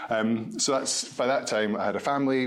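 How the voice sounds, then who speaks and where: Speaking with a Scottish accent, a man keeps his intonation fairly even while audible room echo surrounds his voice. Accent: Scottish, noticeable. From Scotland, Edinburgh. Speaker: med-tech company founder. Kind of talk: podcast interview.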